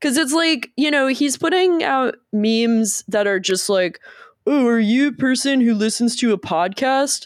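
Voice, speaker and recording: At a fairly slow pace, a woman with a high pitch sounds animated, with lively intonation and very even loudness. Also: very clean recording, silent background. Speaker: podcast host. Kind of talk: casual banter podcast chat. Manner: joking, animated.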